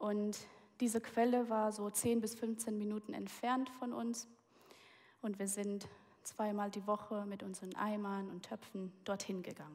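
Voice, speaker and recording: Using a plain, everyday voice, a woman speaks at a medium pitch and a fairly slow pace with fairly even intonation. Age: 20s. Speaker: guest preacher. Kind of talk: sermon.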